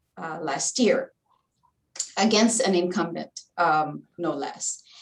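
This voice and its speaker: A woman speaks at a very slow pace with a Filipino accent. Her pitch is medium, with ordinary variation. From Philippines. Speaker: community advocate and former political candidate. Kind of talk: panel discussion. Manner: halting.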